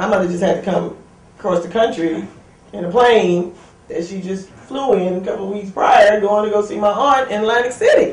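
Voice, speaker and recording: Someone with an American accent talks at a fairly quick pace. Noticeable background noise runs underneath. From Brooklyn, New York. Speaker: military veteran. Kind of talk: testimony.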